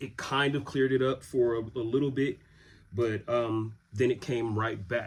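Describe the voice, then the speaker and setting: The man's voice sits at a medium pitch. It sounds somewhat breathy. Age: 30s. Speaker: vlogger telling his illness story. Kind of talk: casual personal storytelling. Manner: casual, with many fillers.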